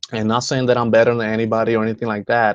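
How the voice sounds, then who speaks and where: A man speaks at medium pitch with a Spanish accent. The background stays quiet. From Dominican Republic. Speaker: home business team co-founder. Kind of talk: motivational talk. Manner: many fillers and false starts.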